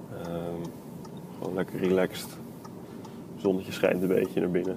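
With noticeable noise behind him, a man talks at a moderate pace in a very deep, low voice, his intonation flat and monotone. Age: 20s. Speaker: podcaster. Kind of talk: solo monologue. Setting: in a car. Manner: hesitant.

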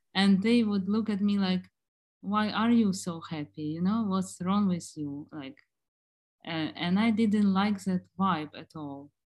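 A woman's medium-pitched, somewhat breathy voice at a fairly slow pace, with ordinary pitch variation, big swings in loudness, and a very clean recording over a silent background. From Germany and Ukraine. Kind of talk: casual chat.

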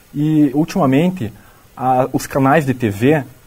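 This is a man speaking. His voice sits fairly high. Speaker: student podcast host. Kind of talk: interview.

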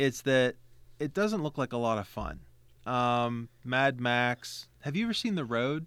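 At a fairly slow pace, an unremarkable speaking voice with an American accent shows ordinary pitch variation. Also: man, medium pitch for a man. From West Virginia. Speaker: guest. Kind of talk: casual chat.

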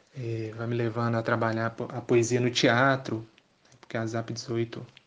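The voice is a man's. It holds a medium pitch. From Belo Horizonte, Brazil. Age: 20s. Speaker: poet and theatre actor. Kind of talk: interview.

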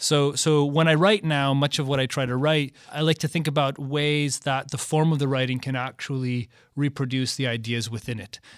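In a very clean recording with a silent background, a man with an unremarkable speaking voice and an American accent talks at a moderate pace and fairly high pitch, with hardly any pauses. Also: fairly even intonation. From Michigan. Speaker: artist and professor. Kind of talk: interview.

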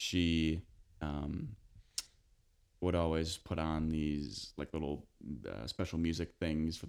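In a very deep, low pitch, a man speaks with an American accent. His intonation is monotone and flat, and the recording is very clean with a silent background. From US Midwest, northern Illinois. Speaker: actor, graduate acting student. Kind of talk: casual chat.

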